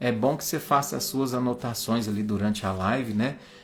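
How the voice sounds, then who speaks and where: The man's voice has a warm tone and sits at a medium pitch. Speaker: spiritist study group leader. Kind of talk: religious study livestream. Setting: livestream. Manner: slow; warm, informal.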